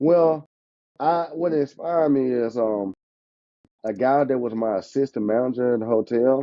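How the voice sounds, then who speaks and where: The speech moves at a moderate pace with ordinary pitch variation. Long pauses come often. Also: man, medium pitch for a man. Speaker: insurance agent. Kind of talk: casual chat. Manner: animated.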